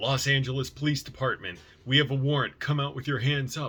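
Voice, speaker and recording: A man puts on a loud, booming character voice at a medium pitch. He delivers it at a fairly quick pace in a monotone, flat way. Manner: commanding.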